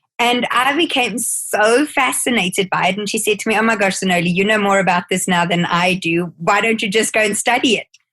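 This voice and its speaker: With hardly any pauses, a woman talks fairly quickly at a medium pitch with ordinary pitch variation. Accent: South African. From South Africa. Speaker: skincare educator and life coach. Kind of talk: podcast interview.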